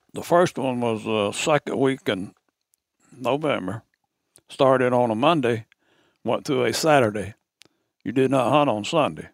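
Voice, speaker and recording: A man with an Arkansas accent, medium in pitch, at a moderate pace with long, frequent pauses, ordinary pitch variation, and a dry, close sound with no echo. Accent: Southern US (Arkansas). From Arkansas, Ouachita Mountains. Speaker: camp owner, hunter. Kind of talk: storytelling. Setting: hunting camp. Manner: halting.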